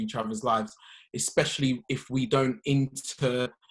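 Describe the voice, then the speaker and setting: Recorded very cleanly against a silent background, a man with a London accent speaks at a fairly slow pace with fairly even intonation. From South London. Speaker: podcast guest. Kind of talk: conversational discussion. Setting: socially distanced podcast.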